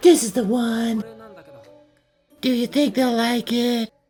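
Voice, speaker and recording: With music in the background, a woman uses a put-on character voice, fairly high in pitch, talking at a fairly slow pace with fairly even intonation. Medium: fan dub. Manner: hesitant, stammering.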